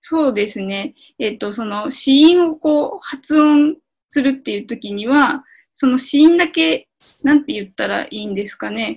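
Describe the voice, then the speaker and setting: A woman's high-pitched voice at a moderate pace, with lively intonation and big swings in loudness. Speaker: Hungarian language learner and co-host. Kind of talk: language lesson chat.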